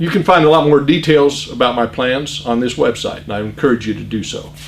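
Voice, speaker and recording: Against noticeable background noise, a man with a Midwestern American accent talks at a fairly quick pace, his fairly high pitch varying an ordinary amount. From US Midwest, Iowa. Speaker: political candidate. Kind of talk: campaign speech.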